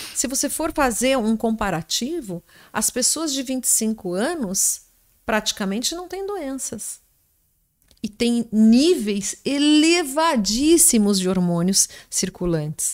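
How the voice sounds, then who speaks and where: A woman's high-pitched voice with very wide pitch swings at a very slow pace, in a very clean recording with a silent background. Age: 50s. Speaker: gynecologist. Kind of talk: interview, medical explanation.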